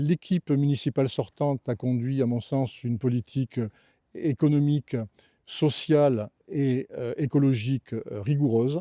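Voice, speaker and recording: With a dark, mellow tone at medium pitch, a man speaks at a fairly slow pace in a very clean, dry, close recording with a silent background and no echo. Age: 70s. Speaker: retired magistrate and municipal candidate. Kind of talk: campaign video statement. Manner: formal; halting with frequent hesitations.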